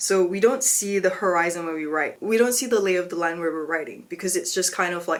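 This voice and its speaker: Speech comes at a very fast pace with hardly any pauses and ordinary pitch variation, against noticeable background noise. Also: woman, medium pitch for a woman. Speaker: philosophy video creator. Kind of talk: educational explainer. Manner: casual, filler-heavy (like, um); stumbling articulation today.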